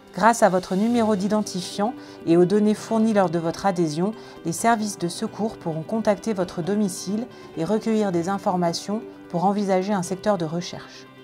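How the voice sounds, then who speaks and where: With music playing in the background, a woman talks in a fairly even intonation. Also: medium pitch for a woman, moderate pace. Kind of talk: instructional voice-over narration.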